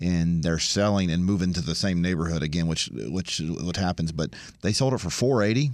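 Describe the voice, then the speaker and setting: Over a very clean, silent background, a man with a very deep, low pitch speaks at a fairly quick pace with ordinary pitch variation. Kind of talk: radio chat.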